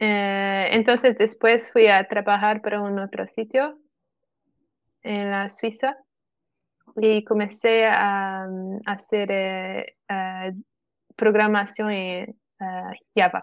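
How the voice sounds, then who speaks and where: A woman with a Portuguese accent speaks very slowly at a medium pitch, in a monotone, flat intonation. Her loudness swings widely, and she leaves long, frequent pauses. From Portugal. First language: Portuguese (speaking Spanish). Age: 20s. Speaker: software developer. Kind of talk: casual chat. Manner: halting.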